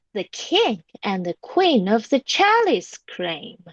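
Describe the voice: In a dry, close sound with no echo, a woman speaks slowly at a fairly high pitch with very wide pitch swings.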